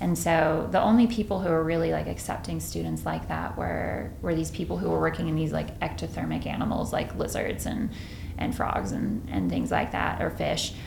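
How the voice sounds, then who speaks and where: With an American accent, a woman talks at a moderate pace over noticeable background noise and audible room echo. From Texas, Dallas Fort Worth area, rural farm. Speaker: neuroscientist, professor. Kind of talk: interview conversation. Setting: office with bare walls, slightly echoey. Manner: halting, many fillers and false starts.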